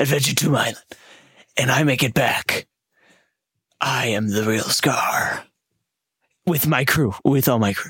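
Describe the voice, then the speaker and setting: A raspy, put-on character voice moves at a moderate pace. It breaks up with long, frequent pauses. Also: man, medium pitch for a man. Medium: actual play. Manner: dramatic, earnest.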